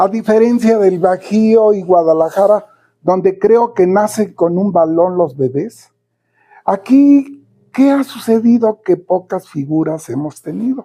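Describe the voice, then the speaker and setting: A man speaks fairly slowly in a high voice with lively intonation. His tone is dark and mellow. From Mexico, Toluca. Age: 80s+. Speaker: sports commentator. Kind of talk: casual monologue.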